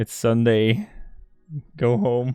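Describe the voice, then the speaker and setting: A man with a medium-pitched voice speaks while music plays in the background. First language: Dutch. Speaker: software developer live streamer. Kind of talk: live coding stream. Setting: public place where people walk by. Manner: casual, hesitant with fillers.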